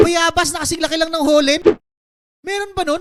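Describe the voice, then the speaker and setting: A man talks in a bright, sharp tone. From Philippines. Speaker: live streamer. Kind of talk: live stream chat. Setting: at home at night.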